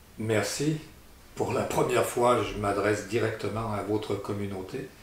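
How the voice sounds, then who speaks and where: Recorded with audible room echo and noticeable background noise, a man speaks at a fairly low pitch with ordinary pitch variation. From Italy, then France. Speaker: landowner. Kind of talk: community address. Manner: halting, many hesitations.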